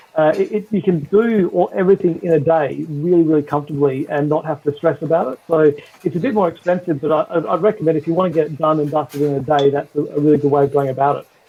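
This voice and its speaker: A man with an Australian accent speaks at a very fast pace. His pitch is fairly high and his intonation fairly even. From Western Australia. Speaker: Disney park fan. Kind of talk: casual chat. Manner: halting, many fillers.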